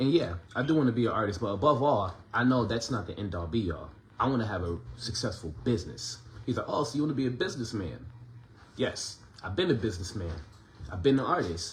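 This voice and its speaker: A man at a very fast pace and medium pitch, lively in intonation, amid audible room echo. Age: 30s. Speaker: independent musician and vlogger. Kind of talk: casual monologue. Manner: conversational, filler-heavy.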